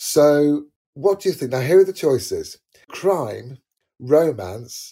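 A man speaks very slowly in a fairly high, somewhat breathy voice with a dark, mellow tone. The recording is very clean, with a silent background. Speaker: podcast host. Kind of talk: casual interview.

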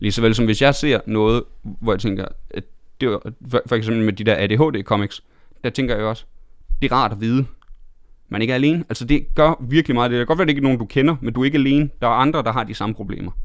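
The man's medium-pitched voice shows ordinary pitch variation as he talks at a very fast pace. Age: 20s. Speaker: stand-up comedian and TV host. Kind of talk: casual interview chat.

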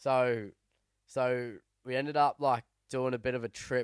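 A man with an Australian accent speaks at a medium pitch in a monotone, flat delivery. The recording is very clean, with a silent background and a dry, close sound without echo. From New South Wales, Australia (Sydney, then Cowra). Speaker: downhill mountain biker and podcast co-host. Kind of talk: casual chat.

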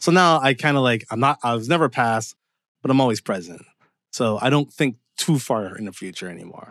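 In a normal speaking voice, a man with a Canadian accent talks at a fairly quick pace and medium pitch, his intonation lively and his loudness swinging widely, in a very clean recording with a silent background and a dry, close sound with no echo. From Canada, Windsor, Ontario. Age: 40s. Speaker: screenwriter. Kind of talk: interview conversation. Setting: his home.

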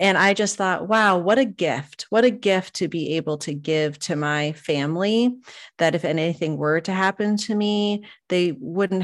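With a plain, everyday voice, a woman speaks at a moderate pace and a fairly low pitch, her intonation lively, on a very clean recording with a silent background. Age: 40s. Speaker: podcaster and home organizer. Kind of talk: casual interview chat.

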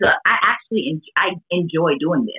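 A woman with a plain, everyday voice speaks at a fairly low pitch with lively intonation. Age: 30s. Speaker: mother, fitness enthusiast guest. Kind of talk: casual interview chat.

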